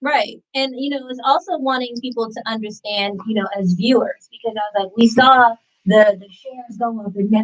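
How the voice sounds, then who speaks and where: A woman's fairly high voice at a fairly quick pace, dry and close with no echo, over background music. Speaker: podcast co-host, former model and actor. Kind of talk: casual chat. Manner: loud.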